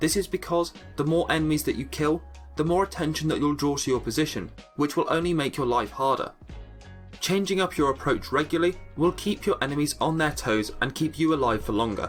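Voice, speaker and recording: Music plays in the background as a man talks at a fairly quick pace. His voice is fairly high, with ordinary pitch variation and very even loudness. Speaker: gaming guide creator. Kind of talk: game tutorial narration.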